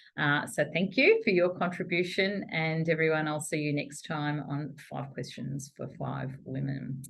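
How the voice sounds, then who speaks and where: In an Australian accent, a woman with a very deep, low pitch speaks with fairly even intonation and hardly any pauses, with audible room echo. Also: moderate pace. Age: 60s. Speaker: chief executive, interviewer. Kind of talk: interview conversation.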